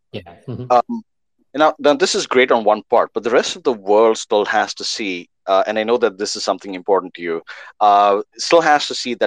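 A man speaks in a plain, everyday voice at medium pitch and a moderate pace, with lively intonation. His loudness swings widely, and the sound is dry and close with no echo. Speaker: podcast host. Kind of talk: interview intro and chat.

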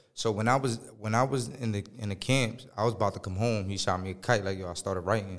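Speaking very fast with an American accent, a man keeps a fairly low pitch and fairly even intonation. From central/north New Jersey. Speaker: rapper. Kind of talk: casual chat.

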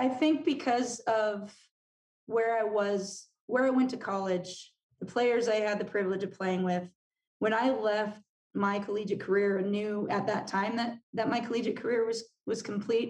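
A woman talks with fairly even intonation and very even loudness. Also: fairly high pitch for a woman, moderate pace. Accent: Californian. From California. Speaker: business coach and former college soccer player. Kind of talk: interview conversation.

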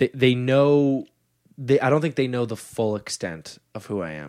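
In a very clean recording with a silent background, a man with an unremarkable speaking voice talks at a medium pitch with lively intonation. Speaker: stand-up comedian and podcast host. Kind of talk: casual chat. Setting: home studio. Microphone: new mic.

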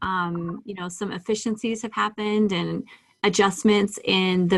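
A woman's normal speaking voice, medium in pitch, moderate in pace, with fairly even intonation. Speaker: podcast host. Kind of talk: interview, business podcast.

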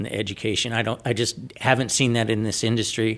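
A man talks with a fairly low pitch. The background is silent and the recording very clean. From San Diego, California. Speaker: solar company owner. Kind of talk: interview.

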